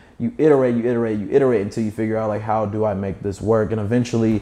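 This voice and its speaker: A man speaks with a medium-pitched voice. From Kentucky. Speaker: entrepreneur. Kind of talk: casual interview.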